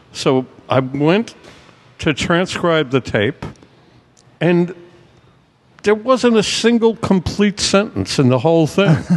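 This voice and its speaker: A man with an American accent speaks very slowly at a high pitch, with very wide pitch swings and long, frequent pauses. Background noise is noticeable. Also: very even loudness. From Brooklyn, New York. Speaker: music and sports journalist. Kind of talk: casual chat.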